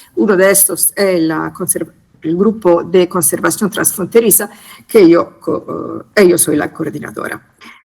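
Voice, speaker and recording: A woman with an Italian accent, fairly low in pitch, at a fairly slow pace with ordinary pitch variation. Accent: Italian-tinged Spanish. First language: Italian (speaking Spanish). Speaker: conservation specialist group coordinator. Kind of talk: conference presentation. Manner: hesitant, many fillers.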